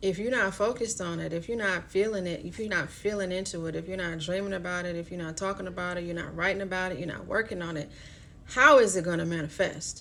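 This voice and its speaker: A woman talks at a very fast pace and a medium pitch, using ordinary pitch variation, with audible room echo around her. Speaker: astrology card reader. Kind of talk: live-streamed card reading. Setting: live stream. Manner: casual, filler-heavy.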